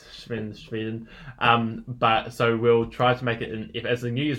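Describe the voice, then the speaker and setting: The speaker is a man with a New Zealand accent. His pitch is medium and his pace is moderate. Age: 20s. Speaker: podcast co-host. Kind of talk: casual chat. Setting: home lounge studio.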